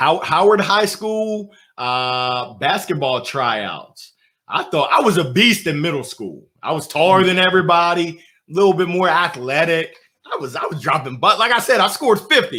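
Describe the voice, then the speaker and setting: Loud and animated, a man with a fairly high pitch uses a bright, sharp tone and lively intonation at a moderate pace. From US, moved around (Alabama, Nebraska, Illinois, Pennsylvania). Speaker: motivational speaker. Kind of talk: interview.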